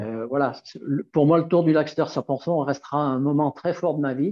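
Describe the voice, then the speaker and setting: An unremarkable speaking voice from a man with a fairly high pitch. He goes at a fairly slow pace with fairly even intonation. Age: 60s. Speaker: nordic walking guide. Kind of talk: casual interview.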